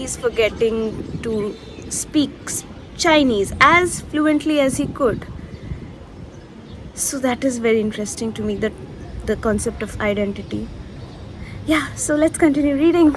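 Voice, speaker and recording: Against noticeable background noise, a woman speaks fairly slowly at a fairly high pitch with ordinary pitch variation. She leaves long, frequent pauses. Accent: Indian. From India, New Delhi. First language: Bengali. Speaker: book vlogger. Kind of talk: casual vlog talk.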